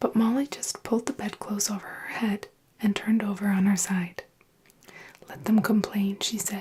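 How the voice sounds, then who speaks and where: A soft-spoken voice with a gentle tone leaves long, frequent pauses. Noticeable background noise runs underneath. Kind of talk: fairy tale reading with character voices. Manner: soft-spoken, gentle.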